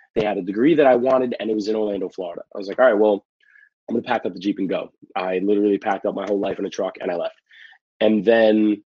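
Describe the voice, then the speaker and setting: Here a man with a New York accent talks at a very fast pace. His pitch is fairly low and his intonation fairly even. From New York City, the Bronx. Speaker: pro wrestler. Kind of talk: casual chat.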